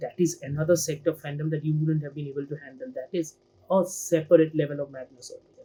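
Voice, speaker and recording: A man's fairly high pitch with a dark, mellow tone. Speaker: film and TV critic. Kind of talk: casual video review monologue. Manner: fast; animated.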